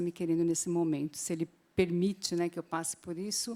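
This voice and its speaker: In a dry, close recording with no echo, a woman talks at a fairly quick pace in a fairly low pitch, her tone dark and mellow and her intonation monotone and flat. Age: 60s. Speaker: Bible teacher. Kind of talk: Bible class teaching.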